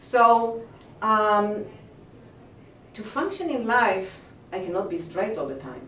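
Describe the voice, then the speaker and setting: Speaking with an Israeli accent at a moderate pace, a woman uses lively intonation amid audible room echo and noticeable background noise. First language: Hebrew. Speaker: movement teacher. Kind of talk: interview. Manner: halting.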